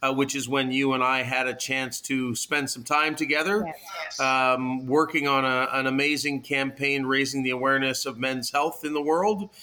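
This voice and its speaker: With a Canadian accent and a medium-pitched voice, a man talks at a moderate pace with fairly even intonation and hardly any pauses, over noticeable background noise. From Canada, Toronto. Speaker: founder of a social connection project. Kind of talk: interview. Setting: remote call.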